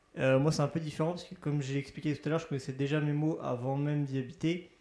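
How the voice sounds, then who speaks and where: A man speaks with fairly even intonation. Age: 20s. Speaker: student resident. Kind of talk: interview.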